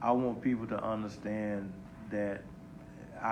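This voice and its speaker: This man speaks at a moderate pace in a fairly low pitch with fairly even intonation, and audible room echo surrounds his voice. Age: 60s. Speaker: bishop. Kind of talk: panel discussion. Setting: Facebook live panel on stage.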